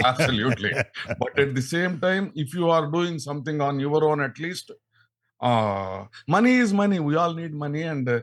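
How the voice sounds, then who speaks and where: A man with a Telugu accent speaks at a fairly high pitch and a moderate pace. His intonation is lively, on a very clean recording with a silent background. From India, Andhra Pradesh. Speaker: radio actor and scientist. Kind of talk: podcast interview. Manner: halting.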